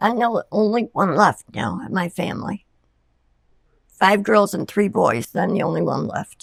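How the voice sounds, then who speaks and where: A woman with an American accent, medium pitch, ordinary pitch variation and vocal fry, at a fairly slow pace, in a dry, close sound with no echo. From Elmira, New York, USA. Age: 80s+. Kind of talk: interview answer.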